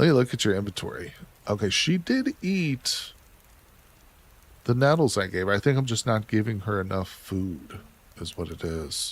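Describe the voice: Lively intonation carries a slightly husky edge at a fairly slow pace. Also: man.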